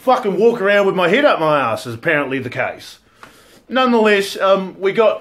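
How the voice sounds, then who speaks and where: Moving at a moderate pace, a man talks at a high pitch with very wide pitch swings. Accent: New Zealand. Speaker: cosplay interviewer and channel host. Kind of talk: casual chat. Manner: loud.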